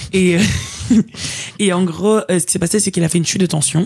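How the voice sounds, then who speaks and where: Somewhat breathy and fairly low-pitched, a woman has a dark, mellow tone and ordinary pitch variation. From Belgium, Liège. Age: 20s. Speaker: student. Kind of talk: casual chat.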